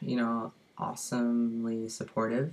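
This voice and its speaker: With an American accent, a man speaks at a fairly slow pace in a medium pitch. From US Midwest, Indiana. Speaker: vlogger. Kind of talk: casual Q&A vlog. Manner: hesitant, many fillers.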